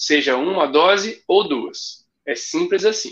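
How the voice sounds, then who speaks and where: In a raised, projected voice, a man speaks at a high pitch and a very slow pace, his tone bright and sharp and his intonation lively. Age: 30s. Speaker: running event ambassador. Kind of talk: casual chat.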